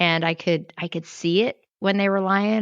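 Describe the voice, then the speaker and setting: A woman speaks in a plain, everyday voice at a moderate pace with ordinary pitch variation, recorded with a dry, close sound and no echo. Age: 60s. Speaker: health coach. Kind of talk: testimony.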